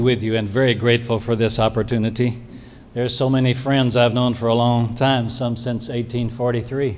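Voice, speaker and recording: Audible room echo surrounds a man talking at a fairly quick pace in a medium pitch with monotone, flat intonation. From Brazil. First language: Portuguese. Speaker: pastoral care professor. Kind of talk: award acceptance speech.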